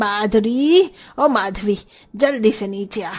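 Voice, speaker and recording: Shouting in a put-on character voice, a woman uses a fairly high pitch and lively intonation. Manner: shouting angrily.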